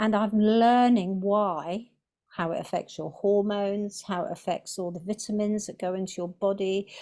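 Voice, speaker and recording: Woman with a southern English accent, dark, mellow tone, medium pitch, moderate pace and fairly even intonation over a quiet background. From England. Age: 60s. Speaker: carnivore diet vlogger. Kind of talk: interview testimony.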